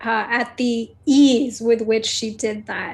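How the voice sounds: The reading voice sounds natural. Its intonation keeps fairly even.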